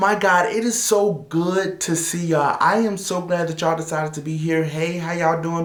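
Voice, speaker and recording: Over noticeable background noise and audible room echo, a man speaks at a fairly quick pace in a high pitch. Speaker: motivational video host. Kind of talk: motivational talk to camera. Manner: loud, yelling; animated.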